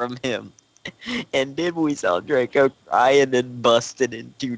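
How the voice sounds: A natural reading voice, pitch moving in an ordinary way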